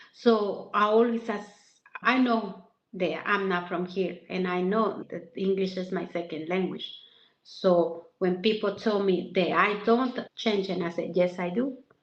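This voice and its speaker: A woman speaks with a strong Mexican accent and fairly even intonation. Her pace is fairly slow. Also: medium pitch for a woman. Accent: heavy Mexican Spanish. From Mexico. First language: Spanish. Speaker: massage therapist. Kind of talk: interview.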